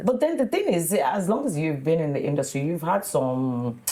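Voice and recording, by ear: A woman's low-pitched voice at a moderate pace, with lively intonation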